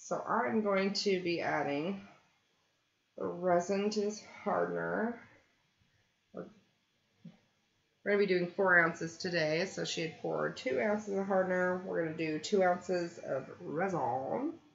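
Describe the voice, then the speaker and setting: A woman speaks at a fairly slow pace with long, frequent pauses and ordinary pitch variation. Audible room echo surrounds her voice. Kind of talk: live stream tutorial chat. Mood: cheerful, laughing. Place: home room.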